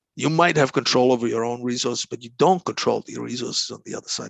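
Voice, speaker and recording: A man with a Croatian accent talks at a fairly quick pace, in a dry, close sound with no echo. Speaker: negotiation consultant. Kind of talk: interview. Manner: halting, many repeated words.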